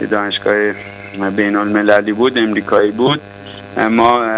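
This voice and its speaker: Against noticeable background noise, a man speaks at a moderate pace with a fairly low pitch. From Iran, Tehran. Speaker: physician and EMBA graduate giving testimonial. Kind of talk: testimony.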